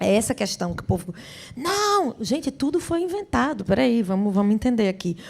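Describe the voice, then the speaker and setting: A fairly high-pitched woman sounds animated and somewhat breathy, her pitch swinging very widely. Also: moderate pace. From Brazil, Rio Grande do Norte (Natal). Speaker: singer and actress. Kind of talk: interview. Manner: animated, with repetitions.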